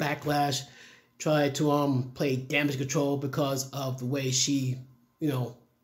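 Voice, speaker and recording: A man speaks somewhat breathily. His pace is moderate. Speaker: commentary vlogger. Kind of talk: casual opinion commentary. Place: home room.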